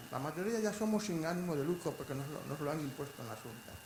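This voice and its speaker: A high-pitched man speaks at a fairly quick pace with lively intonation. Noticeable background noise and audible room echo fill the recording. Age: 60s. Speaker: manager of sheltered employment centres, audience member. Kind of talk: audience question and comment at a conference. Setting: conference hall with audience.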